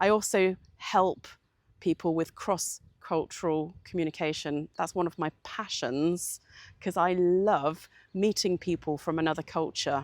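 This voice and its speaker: In a British accent, a woman with a fairly low pitch speaks at a fairly slow pace with fairly even intonation, the sound dry and close with no echo on a very clean recording with a silent background. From United Kingdom. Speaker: communications coach. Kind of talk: channel introduction. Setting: outdoors in the countryside.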